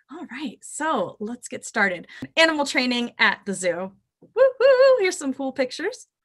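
In a quiet background, a woman speaks at a fairly slow pace. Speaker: zoo educator. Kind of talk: webinar presentation to students. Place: home room. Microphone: webcam.

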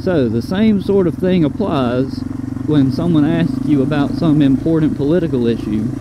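Loud background noise surrounds a man talking at a moderate pace. The sound is dry and has no echo. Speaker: motorcycle vlogger. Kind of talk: casual vlog chat. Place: motorbike.

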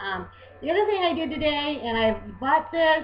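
A woman with an American accent, moderate pace and ordinary pitch variation, against noticeable background noise. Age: 40s. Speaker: beauty vlogger. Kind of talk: tutorial. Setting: webcam recording at home. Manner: halting.

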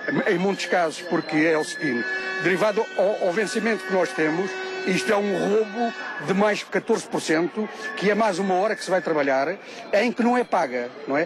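Clear music plays behind a man with a high pitch and ordinary pitch variation, recorded in a dry sound with no echo. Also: moderate pace. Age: 60s. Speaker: municipal worker at a protest. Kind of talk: street interview. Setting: outdoors at a street protest. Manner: indignant, emphatic. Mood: aggrieved, complaining about pay. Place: street. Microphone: handheld.

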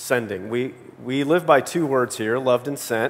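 His pitch moves in an ordinary way as the man talks. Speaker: pastor. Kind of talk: sermon. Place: church.

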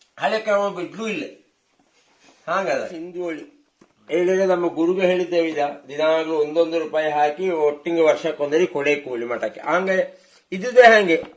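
Pitched high, a man's voice shows ordinary variation in its rise and fall. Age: 50s. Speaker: village vlogger. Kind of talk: casual chat.

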